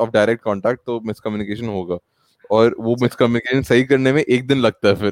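The recording is dry and close, with no echo. A man of medium pitch uses fairly even intonation in an ordinary speaking voice. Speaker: podcast host. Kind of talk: casual chat.

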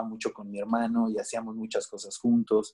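A man with a Mexican accent speaks at a moderate pace in a medium pitch, his dark, mellow tone held in a monotone, flat intonation. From Mexico, Veracruz. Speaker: musician and children's author. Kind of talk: interview. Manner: halting, many repetitions and fillers.

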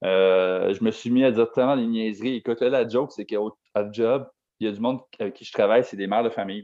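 The pace is very fast, with fairly even intonation. Loudness swings widely throughout. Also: man, medium pitch for a man. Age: 20s. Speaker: podcast co-host. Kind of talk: casual chat.

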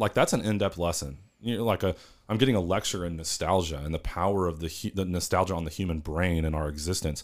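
A man with a Southern US accent at a fairly quick pace, in a very clean recording with a silent background. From Northeast Arkansas. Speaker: podcast co-host, university housing staff. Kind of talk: casual chat.

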